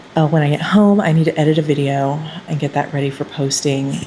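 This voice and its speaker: A woman speaks over noticeable background noise. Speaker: writing vlogger. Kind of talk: vlog diary. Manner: fast.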